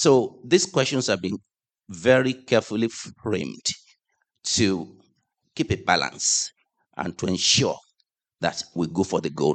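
A man's fairly low voice with vocal fry and very wide pitch swings, at a fairly slow pace with long, frequent pauses, in a dry, close sound with no echo. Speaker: congregation member sharing group discussion. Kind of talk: group feedback in church.

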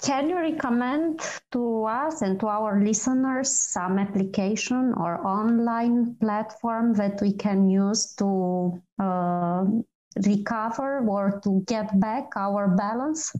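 With a Romanian accent, a woman speaks very slowly at a fairly high pitch in a dark, mellow tone, with very even loudness, ordinary pitch variation and a quiet background. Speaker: PR manager and co-host. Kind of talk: interview. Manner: hesitant, many fillers.

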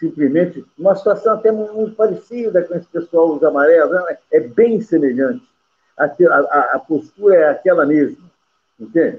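Speaking at a moderate pace, a man has a high pitch and lively intonation. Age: 70s. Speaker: football club commentator. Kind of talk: casual football talk show. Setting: video call from home.

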